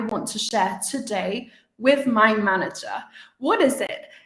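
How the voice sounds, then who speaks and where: A woman speaks with a British accent. Room echo can be heard. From UK. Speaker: communication coach and podcaster. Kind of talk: live webinar talk. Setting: live stream.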